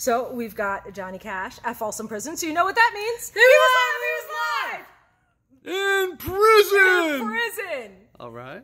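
A woman uses a raised, projected voice with very wide pitch swings, a moderate pace and long, frequent pauses, over noticeable background noise. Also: big swings in loudness. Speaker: vlogger presenting records. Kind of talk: casual vlog chat. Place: shop.

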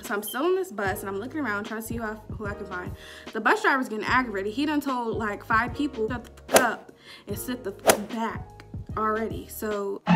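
A woman talks at a fairly quick pace with ordinary pitch variation. Clear music plays in the background. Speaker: vlogger. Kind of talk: casual storytime vlog chat. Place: home room. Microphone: phone near.

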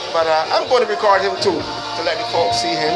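Music plays behind a man whose speech keeps a moderate tempo. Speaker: host interviewing a bar owner. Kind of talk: casual interview chat. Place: bar. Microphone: phone near.

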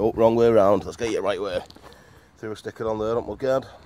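Someone with a British accent talks at a fairly quick pace with fairly even intonation. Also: man. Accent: British English, informal regional. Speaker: motorcycle vlogger. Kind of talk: casual vlog chat. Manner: casual, chatty.

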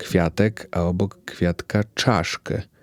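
Very deep and low, this man's voice has a dry, close sound with no echo. The recording is very clean, with a silent background. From Poland, Białystok. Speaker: podcaster. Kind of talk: personal monologue. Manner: reflective.

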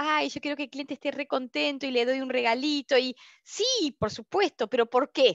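In an Argentine accent, a woman speaks at a moderate pace in a high voice, the sound dry with no echo and the background quiet. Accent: Argentine Spanish (Rioplatense). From Argentina. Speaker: customer experience consultant and instructor; instructor. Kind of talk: online open class / webinar. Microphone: headset.

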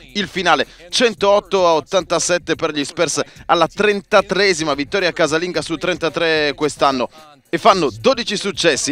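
A high-pitched man speaks in an animated, excited tone with ordinary pitch variation. The sound is dry and close with no echo, and music plays in the background. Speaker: sports commentator. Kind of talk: sports commentary voiceover over game highlights. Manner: animated, punchy, excited at big plays.

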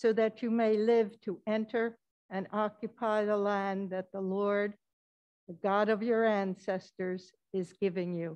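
Against a quiet background, a woman talks at a fairly slow pace and medium pitch with fairly even intonation. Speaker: lay reader. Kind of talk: scripture reading. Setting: church. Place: church.

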